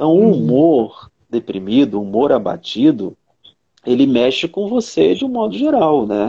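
Very wide pitch swings in a man's dark, mellow, medium-pitched voice at a fairly slow pace. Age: 50s. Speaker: psychologist. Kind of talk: casual chat. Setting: video call.

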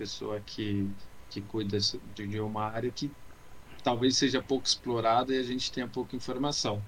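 The man's pitch is medium and his pace fairly slow. He speaks with monotone, flat intonation. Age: 20s. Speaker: podcast co-host. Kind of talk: casual chat. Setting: closed room at home, video call.

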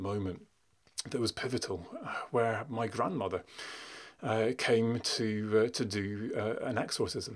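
Using a medium pitch, a man speaks at a fairly slow pace. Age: middle-aged. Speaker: academic researcher and podcast host. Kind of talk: solo podcast monologue. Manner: hesitant with many fillers.

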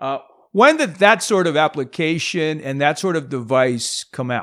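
A man talks in a normal speaking voice at a fairly high pitch. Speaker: podcast host. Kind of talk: interview conversation. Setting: video call with guest.

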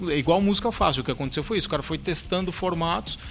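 Noticeable background noise fills the clip. Through it, a man talks with ordinary pitch variation. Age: 40s. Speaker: drummer and drum teacher. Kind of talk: casual chat.

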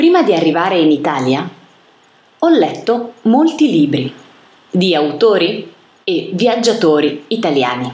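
Amid audible room echo, a woman with a medium-pitched voice pauses long and often, her pitch swinging very widely. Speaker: italian language reader. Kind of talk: reading aloud. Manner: slow.

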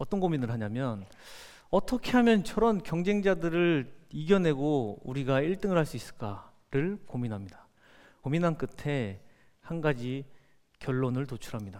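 Very wide pitch swings at a moderate pace in a man's fairly high voice. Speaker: company founder and CEO. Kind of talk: motivational talk. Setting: stage with audience.

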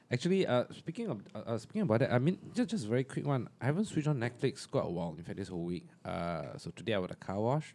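Talking at a very fast pace, a man with a medium pitch has a dark, mellow tone. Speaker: podcast co-host. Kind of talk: casual chat.

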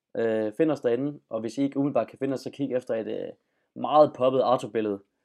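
Against a quiet background, a man with a dark, mellow tone and medium pitch speaks at a fairly quick pace, his intonation fairly even but with big swings in loudness. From Denmark, Funen. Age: 20s. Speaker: journalism student and podcast host. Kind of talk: casual chat. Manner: halting.

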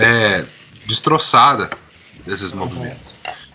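A man's intonation rises and falls in a lively way while clear background noise runs underneath. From Brazil and Boston, US. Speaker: church member, translator. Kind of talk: casual chat.

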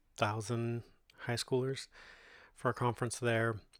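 A man's relaxed, medium-pitched voice with a Californian accent, monotone and flat, on a very clean recording with a silent background. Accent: Californian American English. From Modesto, California (Central Valley, US West Coast). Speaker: podcast host and graffiti muralist. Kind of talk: solo autobiographical monologue, casual personal storytelling to listeners. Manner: halting and filler-heavy, frequent ums, uhs and self-restarts; relaxed, conversational and unhurried.

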